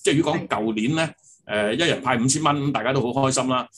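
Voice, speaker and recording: Ordinary pitch variation comes through over light background noise. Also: man. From Hong Kong. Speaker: property agency executive; guest. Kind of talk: interview. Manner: halting, many fillers. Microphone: video call.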